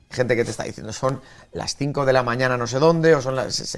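A man with a medium pitch talks at a very fast pace with fairly even intonation. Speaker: journalist and streamer. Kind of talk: casual chat. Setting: sports bar in a theme park.

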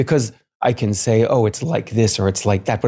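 Fairly low-pitched and somewhat breathy, a man talks at a fairly quick pace with a dark, mellow tone and lively intonation. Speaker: martial arts and meditation teacher. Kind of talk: casual interview. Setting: video call. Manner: calm, soothing.

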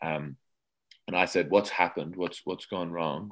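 Ordinary pitch variation marks this speech in an Australian accent. Nothing can be heard in the background. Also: man. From Australia, Adelaide. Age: 20s. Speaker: comedian. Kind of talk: interview. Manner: halting.

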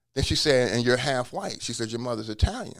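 A man with an American accent, medium pitch and vocal fry at a very fast pace, on a very clean recording with a silent background. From US Midwest (Cincinnati, Ohio). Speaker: law professor and former attorney. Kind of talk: personal testimony interview.

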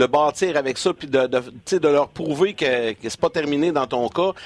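A man speaks with a fairly high pitch and ordinary pitch variation. The sound is dry and close, with no echo. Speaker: hockey broadcaster. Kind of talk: sports talk show. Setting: studio.

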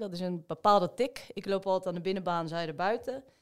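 On a very clean recording with a silent background, a woman speaks in a plain, everyday voice at a medium pitch and a fairly quick pace, with ordinary pitch variation. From Rotterdam, Netherlands. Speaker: amateur marathon runner. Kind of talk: casual chat.

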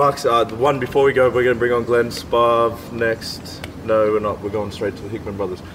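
With an Australian accent, a man speaks at medium pitch in a monotone, flat intonation. His pace is fairly quick, and noticeable background noise sits behind him. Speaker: podcast host and MMA fighter. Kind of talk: casual chat. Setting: outdoors.

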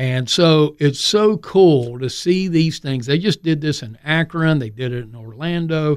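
A man with a plain, everyday voice at a fairly high pitch and fairly slow pace, ordinary pitch variation, big swings in loudness, in a very clean recording with a silent background. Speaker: maintenance expert and maker movement advocate. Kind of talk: casual radio interview. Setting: radio studio.

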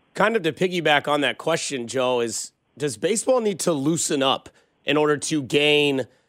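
In a very clean recording with a silent background, a man with a fairly high pitch speaks at a moderate pace in a plain, everyday voice. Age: 30s. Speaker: sports radio host. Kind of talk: interview.

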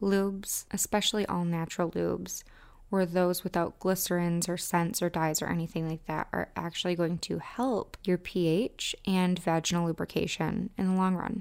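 A woman at a medium pitch and a moderate pace, in a very clean recording with a silent background. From US Midwest. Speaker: podcast host and romance specialist. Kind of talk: podcast talk, educational and promotional.

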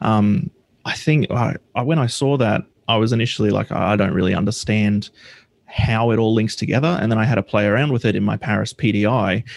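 A man with an Australian accent, medium pitch, a fairly quick pace and very even loudness. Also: ordinary pitch variation. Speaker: software developer. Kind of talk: casual interview. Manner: hesitant, many fillers.

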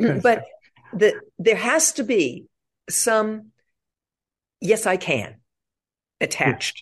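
A woman's fairly high voice with vocal fry, very wide pitch swings, a very slow pace, and long, frequent pauses. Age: 70s. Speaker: author and psychologist. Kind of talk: interview conversation. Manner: animated, conversational.

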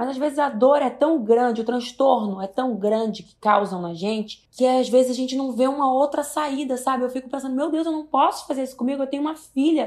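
Talking at a fairly quick pace with hardly any pauses, a woman uses a high pitch and big swings in loudness. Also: ordinary pitch variation. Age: 20s. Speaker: singer and reality show contestant. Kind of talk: casual chat.

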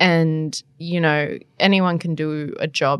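A woman with an Australian accent. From New South Wales central coast, Australia. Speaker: political journalist. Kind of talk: casual interview.

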